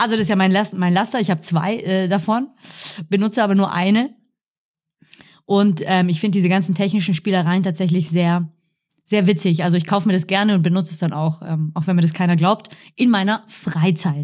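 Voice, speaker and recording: Somewhat breathy speech at a fairly quick pace, with very even loudness, fairly even intonation, and long, frequent pauses. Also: woman, medium pitch for a woman. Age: 30s. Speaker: dance teacher, podcast co-host. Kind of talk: casual chat. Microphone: professional podcast microphone.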